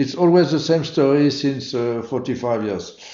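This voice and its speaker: A man speaks with a French accent. Audible room echo surrounds his voice. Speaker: motorsport event organizer. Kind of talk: interview. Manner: halting, many fillers.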